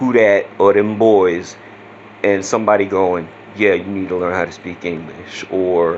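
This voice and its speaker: This man speaks in a very deep, low voice with a Louisiana accent and a monotone, flat delivery. His pace is fairly slow, and noticeable background noise is present. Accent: Southeast Louisiana. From Southeast Louisiana. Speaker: vlogger. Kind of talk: casual vlog talk. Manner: casual, with many fillers.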